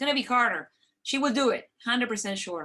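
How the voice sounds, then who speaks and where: The woman's intonation is lively. She speaks very fast. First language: not English. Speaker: medical expert answering parent questions. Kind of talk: question and answer discussion.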